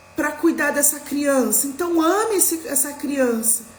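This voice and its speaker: A woman's lively intonation at a fairly slow pace, amid noticeable background noise and audible room echo. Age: 40s. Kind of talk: live religious talk. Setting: livestream.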